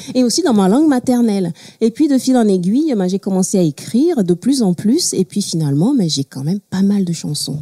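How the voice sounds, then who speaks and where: A woman with a Togolese accent, medium in pitch, with a somewhat breathy, dark, mellow tone, very wide pitch swings, a fairly quick pace and a dry, close sound with no echo. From Togo, Lomé. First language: Mina (speaking French). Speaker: singer-songwriter. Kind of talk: talk show interview. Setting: studio with audience.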